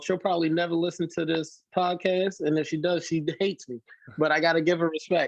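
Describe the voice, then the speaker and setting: A man speaks loudly in a high pitch. His pace is fairly quick. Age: young. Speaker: hardcore punk band vocalist. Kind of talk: casual podcast interview. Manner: animated.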